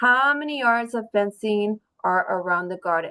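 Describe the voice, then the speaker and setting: A woman with an ordinary speaking voice talks at a fairly high pitch, her intonation lively. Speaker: teacher. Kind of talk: classroom test review.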